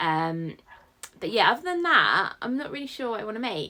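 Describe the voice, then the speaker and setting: A woman speaks with a British accent. Her tone is bright and sharp. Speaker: sewing vlogger. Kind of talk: casual vlog chat.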